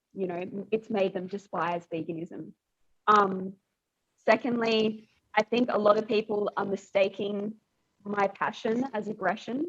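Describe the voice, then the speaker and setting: Her pitch is medium and her intonation fairly even. The woman speaks at a fairly slow pace with long, frequent pauses. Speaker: vegan activist. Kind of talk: podcast interview. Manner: loud when speaking at protests.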